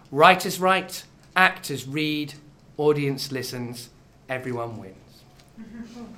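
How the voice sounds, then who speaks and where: With long, frequent pauses and a very slow pace, a man speaks at a fairly high pitch in a bright, sharp tone with lively intonation and audible room echo. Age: 30s. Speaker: comedy night host. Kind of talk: live compering to audience. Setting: theatre stage with live audience.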